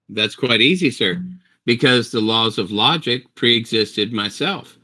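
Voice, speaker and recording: In a very clean recording with a silent background, the voice has a bright, sharp tone and lively intonation at a fairly slow pace. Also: man, medium pitch for a man. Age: 60s. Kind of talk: heated debate. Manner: forceful, talks over others.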